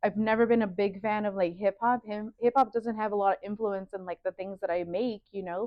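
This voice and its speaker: A woman's voice with a Spanish accent and fairly even intonation. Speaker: fashion designer. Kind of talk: casual interview. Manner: casual, filler-heavy (like, you know).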